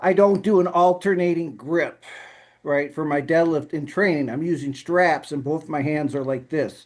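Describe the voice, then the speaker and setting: An unremarkable speaking voice from a man, fairly high in pitch, moderate in pace, fairly even in intonation, over a quiet background. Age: 50s. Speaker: powerlifter and accountant vlogger. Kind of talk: casual video update. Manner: rambling conversational, many fillers.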